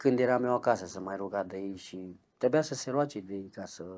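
A man talks at a moderate pace with ordinary pitch variation and big swings in loudness. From Romania, Brașov; Romania. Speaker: ex-convict; interviewee. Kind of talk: interview testimony; interview answer. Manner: halting. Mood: reflective, recounting painful childhood. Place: home room. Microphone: lapel.

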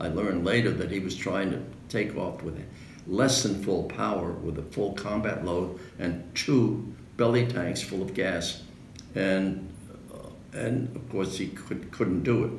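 A very deep, low-pitched man in a New York accent, with ordinary pitch variation at a fairly slow pace, amid audible room echo and light background noise. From New York City. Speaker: World War II veteran fighter pilot. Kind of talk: interview answer. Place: home room. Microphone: camera far.

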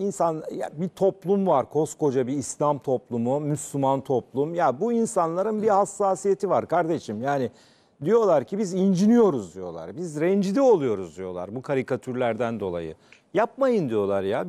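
This man's pitch swings very widely as he talks at a fairly slow pace. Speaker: TV debate host. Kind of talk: commentary. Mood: indignant, emphatic. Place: studio. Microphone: lapel.

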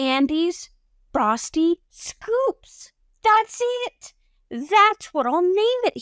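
A woman uses a put-on character voice at an extremely high pitch with very wide pitch swings. She goes at a very slow pace, with long, frequent pauses. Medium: read story. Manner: excited, eager.

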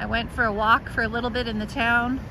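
A woman's high-pitched voice, dry with no echo, over noticeable background noise. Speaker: live stream walking host. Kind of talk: casual vlog chat. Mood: cheerful, relaxed. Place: street. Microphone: phone near.

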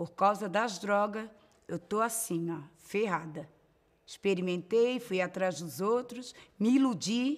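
Against a quiet background, a woman speaks at a very slow pace in a medium pitch with lively intonation. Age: 40s. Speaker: former drug user; speaker. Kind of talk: testimony. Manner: emphatic. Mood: somber, regretful. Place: studio.

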